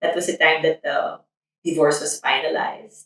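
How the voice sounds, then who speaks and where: A woman with a Filipino accent speaks in a very deep, low voice with a bright, sharp tone and monotone, flat intonation. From Philippines. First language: Tagalog. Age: 30s. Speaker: nurse. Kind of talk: documentary interview.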